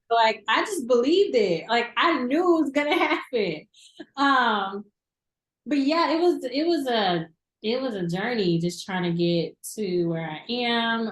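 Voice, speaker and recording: A woman with an American accent speaks at a fairly slow pace. Her pitch swings very widely. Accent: Southern, toned down. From US South, southern Arkansas. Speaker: TV news reporter. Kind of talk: casual interview. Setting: studio.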